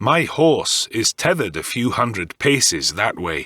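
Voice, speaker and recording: A man growls in a put-on character voice with very wide pitch swings, recorded dry and close with no echo. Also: medium pitch for a man, moderate pace. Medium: read story. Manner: dry, confident.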